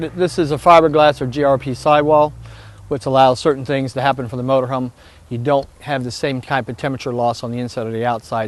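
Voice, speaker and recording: The speaker is a man with an American accent. He talks very fast, with fairly even intonation. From United States. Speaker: motorhome sales expert. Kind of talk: product demonstration interview.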